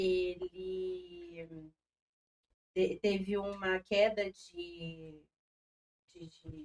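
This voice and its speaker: The speaker is a woman. She talks in a medium pitch. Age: 30s. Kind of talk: TV interview.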